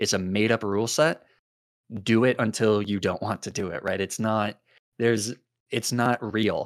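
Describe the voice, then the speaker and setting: A man speaks at a moderate pace with fairly low pitch and fairly even intonation, leaving long, frequent pauses. The recording is very clean, the background silent. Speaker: YouTuber and streamer.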